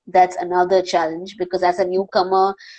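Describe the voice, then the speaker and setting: A woman talks at a medium pitch with an Indian accent. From India, Panvel near Mumbai. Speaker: wildlife filmmaker and presenter. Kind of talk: live Q&A interview.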